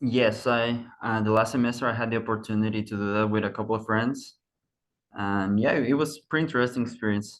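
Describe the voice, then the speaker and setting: A man with a Spanish accent, medium-pitched, at a fairly quick pace, with fairly even intonation against a quiet background. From Mexico. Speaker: university student. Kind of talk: casual chat.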